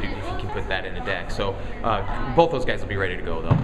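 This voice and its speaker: Someone talks at a very fast pace with clear music playing in the background. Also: man. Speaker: college track coach. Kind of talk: interview answer.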